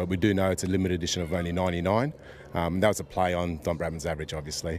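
A man talks at a very fast pace with a very deep, low pitch. The sound is dry with no echo, over light background noise. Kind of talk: interview answer. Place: open country. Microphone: handheld.

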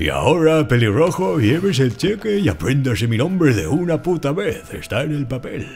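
Using a put-on character voice, a man speaks fairly high for a man at a moderate pace with hardly any pauses, while clear background noise runs underneath. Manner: grumpy, pompous, swearing.

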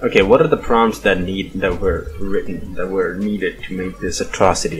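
With music behind it, the delivery keeps a moderate tempo. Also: man. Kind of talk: casual commentary. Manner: casual, profane.

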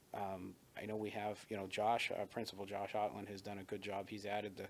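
A man speaking fairly quickly in a fairly low pitch, monotone and flat in intonation. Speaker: school board candidate. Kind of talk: interview. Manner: fast.

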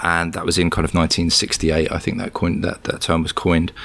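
A man with a British accent and a very deep, low pitch at a fairly quick pace. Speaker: cybersecurity researcher. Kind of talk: interview. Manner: halting, many fillers.

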